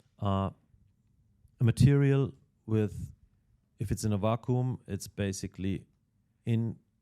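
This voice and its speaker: A man's fairly low, dark, mellow voice with a non-native accent, fairly slow with long, frequent pauses and ordinary pitch variation, in a dry, close sound with no echo. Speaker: cycling team technical manager. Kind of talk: podcast interview. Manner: halting, many fillers and repetitions.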